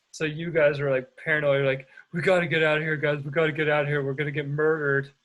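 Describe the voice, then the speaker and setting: At a very fast pace, a man speaks in a monotone, flat intonation at a fairly high pitch. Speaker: podcast host. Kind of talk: casual chat.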